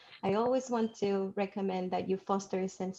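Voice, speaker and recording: A woman speaks at medium pitch with a dark, mellow tone. Her intonation stays fairly even. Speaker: debate coach. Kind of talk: presentation to coaches. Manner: fast.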